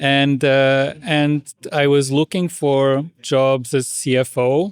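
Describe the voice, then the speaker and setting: The speech comes at a very slow pace in a dry, close sound with no echo. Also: man, fairly high pitch for a man. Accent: Portuguese. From Portugal. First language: Portuguese. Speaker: international education administrator. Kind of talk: interview. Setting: podcast. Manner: halting.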